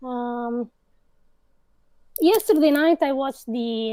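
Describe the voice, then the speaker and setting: A high-pitched woman with a dark, mellow tone, in a dry, close sound with no echo. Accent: Italian. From Italy. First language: Italian. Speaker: video editor, podcast guest. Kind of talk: casual chat.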